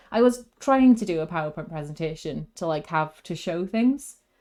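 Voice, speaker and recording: On a very clean recording with a silent background, a woman with a Welsh accent speaks at a moderate pace with lively intonation. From Wales. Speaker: video game streamer. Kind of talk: casual gaming stream chat. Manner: animated; halting, many fillers.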